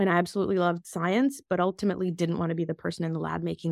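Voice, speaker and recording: With an American accent, a woman speaks at a very fast pace in a fairly low voice with vocal fry, on a very clean recording with a silent background and a dry, close sound with no echo. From Russia (Moscow), then US. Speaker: biotech executive. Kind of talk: interview.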